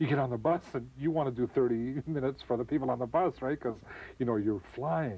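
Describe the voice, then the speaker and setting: A man with a Canadian accent, medium pitch, vocal fry, ordinary pitch variation and a fairly quick pace. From Vancouver, Canada. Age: 40s. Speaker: voice actor. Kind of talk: interview. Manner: animated.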